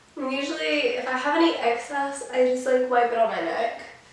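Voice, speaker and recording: Her voice is high-pitched, with ordinary pitch variation. The woman is recorded with audible room echo and noticeable background noise. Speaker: makeup vlogger. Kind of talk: tutorial. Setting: filming on the floor at home. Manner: casual, filler-heavy.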